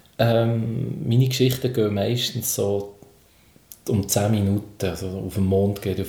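Somewhat breathy, a man speaks with a dark, mellow tone, fairly low pitch and fairly even intonation. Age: 40s. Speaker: comedian and children's entertainer. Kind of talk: casual interview.

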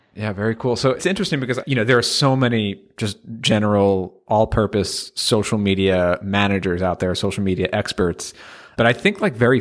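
In an American accent, a man with an unremarkable speaking voice talks at a fairly quick pace and a fairly low pitch with ordinary variation, recorded very cleanly over a silent background. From United States. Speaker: podcast host. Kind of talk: interview.

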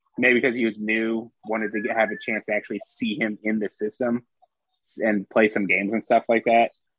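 Here a man uses an ordinary speaking voice at a medium pitch. He keeps to a moderate pace. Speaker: baseball writer and podcast co-host. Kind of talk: casual chat. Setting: video call.

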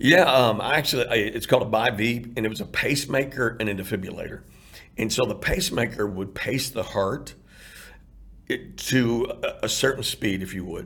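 A plain, everyday voice from a man with an American accent, medium in pitch, with ordinary pitch variation at a moderate pace. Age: 50s. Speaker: heart transplant recipient and outreach founder. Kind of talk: interview testimony.

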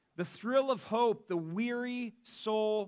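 A man with a Midwestern American accent, very slow pace, and lively intonation. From US Midwest (Akron, Ohio). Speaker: pastor. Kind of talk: sermon. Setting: church.

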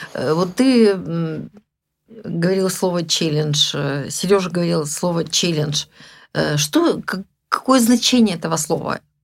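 A woman's fairly low voice with lively intonation, a very slow pace and long, frequent pauses, on a very clean recording with a silent background. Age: old. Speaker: retired massage therapist, grandmother. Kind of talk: casual chat. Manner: hesitant, with filler sounds.

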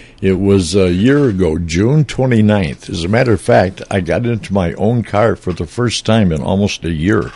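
Over noticeable background noise, a man with a fairly low pitch talks at a moderate pace with lively intonation and hardly any pauses. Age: 80s. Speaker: retired radio broadcaster, station founder. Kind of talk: casual chat. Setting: studio. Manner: halting.

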